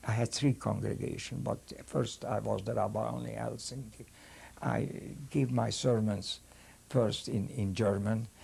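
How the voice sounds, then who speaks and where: A man with a Hungarian accent talks at a moderate pace. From Hungary. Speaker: rabbi and Holocaust survivor. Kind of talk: testimony. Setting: filmed interview. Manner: halting.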